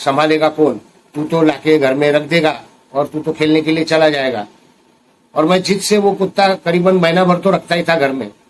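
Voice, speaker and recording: At a moderate pace, a man speaks at a fairly high pitch with fairly even intonation. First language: Marathi (speaking Hindi). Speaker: recovering addict and addiction recovery vlogger. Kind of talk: personal testimony vlog.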